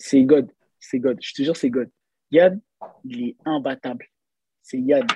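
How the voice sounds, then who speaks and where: Recorded dry and close with no echo, a man speaks at a very slow pace with long, frequent pauses. His medium-pitched voice has a dark, mellow tone and ordinary pitch variation. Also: big swings in loudness. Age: 20s. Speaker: street workout athlete. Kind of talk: casual chat. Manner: halting.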